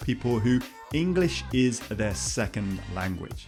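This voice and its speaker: With music in the background, a man talks at a moderate pace in a medium pitch. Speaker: online course coach, interviewer. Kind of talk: video intro to camera.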